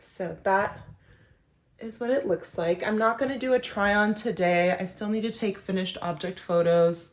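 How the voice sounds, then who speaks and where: A woman speaks in a plain, everyday voice at a moderate pace, her medium pitch moving with ordinary variation. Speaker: knitting video creator. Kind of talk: casual vlog talk to camera.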